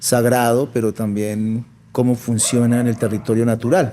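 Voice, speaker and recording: A man speaks at a moderate pace with a medium pitch. His tone is dark and mellow. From Colombia, Popayán, Cauca (born La Plata, Huila). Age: 40s. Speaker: artist. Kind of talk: interview conversation.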